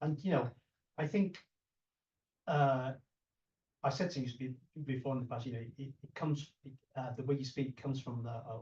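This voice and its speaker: Speaking at a moderate pace with long, frequent pauses, a man with a British accent has a medium-pitched, somewhat breathy voice, a dark, mellow tone and fairly even intonation. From UK. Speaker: martial arts channel host, interviewer. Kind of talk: casual interview. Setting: in guest's place. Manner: halting, many repetitions.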